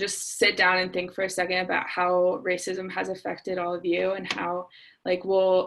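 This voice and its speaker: A woman with an American accent speaks at a medium pitch. Hers is an unremarkable speaking voice. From Cincinnati, Ohio, US Midwest. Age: 20s. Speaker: college student, youth event organizer. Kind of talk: casual self-introduction.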